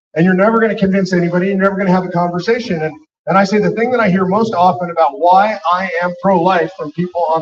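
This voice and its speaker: Talking at a very fast pace with an animated tone, a man uses a high pitch and ordinary pitch variation. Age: 60s. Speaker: political activist speaker. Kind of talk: speech at a rally.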